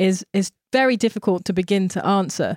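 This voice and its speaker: Heard dry and close with no echo in a very clean recording with a silent background, a woman speaks at a medium pitch with ordinary pitch variation. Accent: London. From South East London. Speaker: visual artist. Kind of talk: interview conversation.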